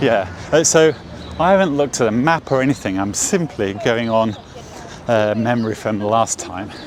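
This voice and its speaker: A man with an English accent speaks at a moderate pace and a medium pitch, his intonation lively, with noticeable background noise. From England. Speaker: watch vlogger. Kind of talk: walking vlog. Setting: outdoors on city street. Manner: halting, many fillers.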